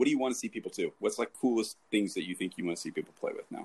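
The recording sounds dry and close, without echo. The voice is a man's. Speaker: podcast host. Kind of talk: casual interview chat. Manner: casual, chatty.

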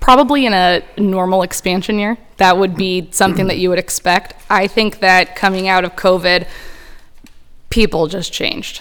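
A woman with an ordinary speaking voice speaks at a moderate pace and medium pitch, with fairly even intonation. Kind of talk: casual chat.

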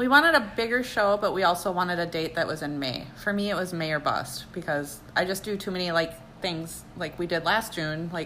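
A woman talks at a fairly quick pace with hardly any pauses, her pitch fairly low with ordinary variation. Noticeable background noise and audible room echo fill the recording. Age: 30s. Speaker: amateur runner and bodybuilding competitor. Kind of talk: casual chat.

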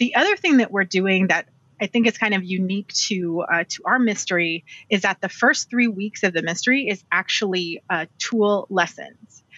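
A woman speaks at a moderate pace in a normal speaking voice, medium in pitch with ordinary pitch variation. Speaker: quilter. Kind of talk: casual interview.

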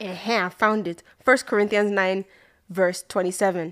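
Using an ordinary speaking voice, a woman talks at a moderate pace with a medium pitch and fairly even intonation. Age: 20s. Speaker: podcast co-host. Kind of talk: casual chat.

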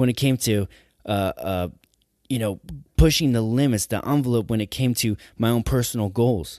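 The recording is very clean with a silent background and a dry, close sound with no echo, as a man speaks in an energetic tone with ordinary pitch variation. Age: 20s. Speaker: motivational podcast host. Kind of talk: motivational solo podcast.

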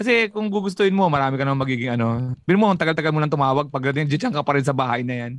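A man with a Filipino accent talks very fast at a fairly high pitch, barely pausing, his intonation lively. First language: Tagalog. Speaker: comedian. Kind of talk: casual chat.

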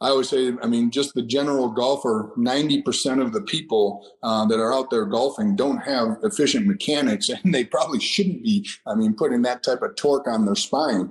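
A man with a plain, everyday voice talks at a moderate pace and medium pitch, his intonation lively and his loudness very even, with hardly any pauses. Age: 50s. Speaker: strength and conditioning trainer. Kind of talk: interview.

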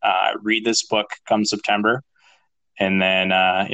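With an American accent and a bright, sharp tone, a man talks at a fairly slow pace in a monotone, flat intonation against a quiet background. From northern Minnesota. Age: 30s. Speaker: real estate entrepreneur. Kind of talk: interview.

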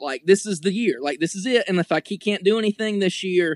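On a very clean recording with a silent background, a man with an American accent speaks at a high pitch, the sound dry and close with no echo. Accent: Southern redneck. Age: 20s. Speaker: sports fan guest. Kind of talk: casual chat.

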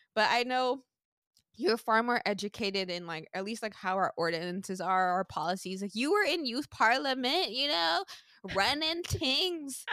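With an American accent, a woman speaks at a moderate pace in a bright, sharp tone, fairly high in pitch with very wide pitch swings. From Sint Maarten. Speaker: podcast host. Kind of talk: casual conversational interview.

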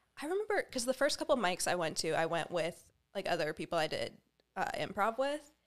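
Very fast, this woman speaks with an American accent. Her medium pitch has very wide pitch swings. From Kansas City, Missouri. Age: 20s. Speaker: comedian. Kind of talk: casual chat.

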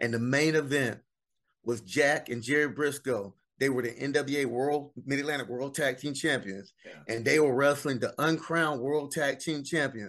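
A man with a Southern US accent speaks at a moderate pace with a fairly high pitch. His pitch varies normally, and the background is quiet. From US South, South Carolina. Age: 50s. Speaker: wrestling memorabilia collector. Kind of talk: casual interview.

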